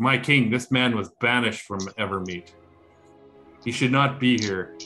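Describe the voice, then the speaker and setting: Faint music plays in the background behind a put-on character voice. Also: man, medium pitch for a man, moderate pace, ordinary pitch variation. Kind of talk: formal, archaic. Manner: stern, accusing.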